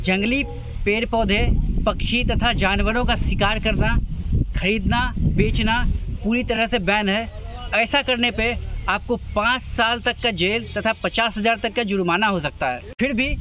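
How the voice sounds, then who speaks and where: A man speaks at a fairly slow pace with a high pitch and fairly even intonation. Long, frequent pauses break up his dry, echo-free speech over light background noise. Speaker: travel vlogger. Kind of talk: casual vlog chat with a warning message. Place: farm.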